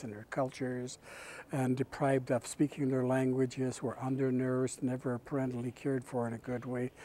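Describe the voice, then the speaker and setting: A man of medium pitch talks in a dark, mellow tone, with a dry sound and no echo. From Canada, British Columbia First Nations. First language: Kwakwala. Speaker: First Nations chief and residential school survivor advocate. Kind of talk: speech at a peace event. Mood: calm, reflective, earnest. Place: hall. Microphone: lapel.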